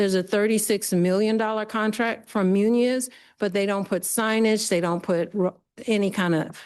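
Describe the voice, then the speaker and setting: Over a quiet background, a woman speaks at a moderate pace in an ordinary speaking voice, with medium pitch, fairly even intonation and very even loudness. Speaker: public commenter. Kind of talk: public comment with slides. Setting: committee meeting boardroom.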